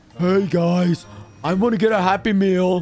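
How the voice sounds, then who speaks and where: With faint music in the background, a man puts on a character voice at a high pitch and a moderate pace. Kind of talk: video voice.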